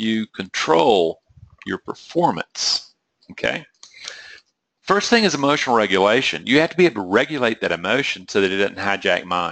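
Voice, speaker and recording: A man with an American accent speaks at medium pitch in a bright, sharp tone. His pitch swings very widely at a moderate pace against a quiet background. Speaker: trading psychology coach. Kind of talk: webinar presentation. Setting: online webinar. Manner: rambling, conversational.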